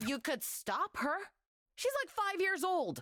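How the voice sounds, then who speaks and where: A put-on character voice at an extremely high pitch swings very widely in pitch while moving at a fairly slow pace. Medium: video game. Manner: blunt, deadpan.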